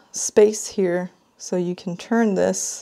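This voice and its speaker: A woman speaks with ordinary pitch variation against a quiet background. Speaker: product reviewer. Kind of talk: unboxing commentary.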